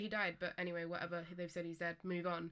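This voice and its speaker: The voice carries an English accent. It moves at a very fast pace. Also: woman. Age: 20s. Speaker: guest on podcast, partner of co-host. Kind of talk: casual chat.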